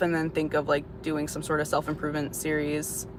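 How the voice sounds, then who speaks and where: Noticeable background noise behind a woman's voice, delivered at a moderate pace. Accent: American. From Florida, US. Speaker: livestreamer. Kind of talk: casual chat. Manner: casual, filler-heavy.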